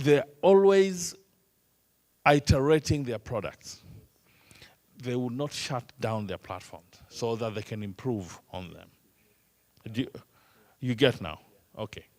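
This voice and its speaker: With an East African accent, a man talks at a fairly slow pace and medium pitch, his voice swinging very widely in pitch between long, frequent pauses. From Kenya. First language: Swahili. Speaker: trainer. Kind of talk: lecture.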